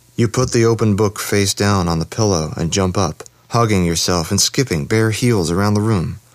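This is someone reading aloud in a natural voice. The pitch varies in an ordinary way.

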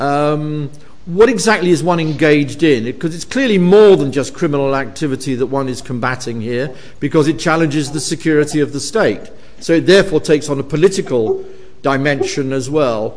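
Through noticeable background noise, a man with a fairly high pitch talks fairly quickly with ordinary pitch variation. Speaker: professor chairing event. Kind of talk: academic event chairing and Q&A. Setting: university lecture hall with audience.

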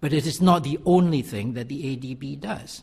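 Somewhat breathy, a man talks at a fairly slow pace in a fairly high pitch. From Malaysia. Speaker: economics professor. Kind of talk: panel talk. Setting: conference stage.

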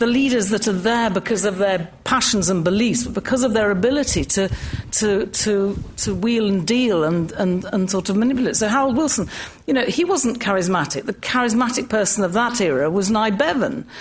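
Lively intonation from a woman with a fairly high voice at very even loudness, with audible room echo and noticeable background noise. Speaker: magazine editor, activist. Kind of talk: panel talk. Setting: lecture hall with audience. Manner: conversational.

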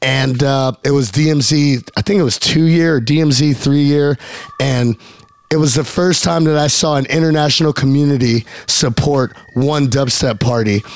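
A man with a fairly high pitch and ordinary pitch variation keeps his loudness very even over noticeable background noise. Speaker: radio DJ host. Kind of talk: radio DJ show patter. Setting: radio studio broadcast. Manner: animated, irreverent, profane, hype-man energy.

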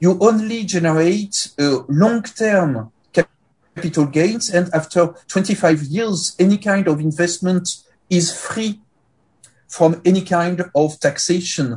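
A man speaks with a French accent at a very slow pace. His pitch is high. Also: ordinary pitch variation. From France. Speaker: sociology professor. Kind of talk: academic presentation. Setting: video call.

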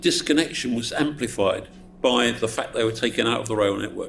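A man with a southeast English accent at a moderate pace. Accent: south-east English. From Essex, England. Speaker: politician. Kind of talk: audience Q&A answer; panel talk. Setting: event with live audience.

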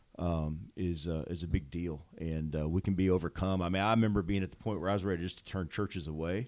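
Very fast speech from a man with an American accent, very deep and low in pitch, fairly even in intonation, with hardly any pauses. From St. Louis, Missouri. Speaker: pastor. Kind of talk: casual chat.

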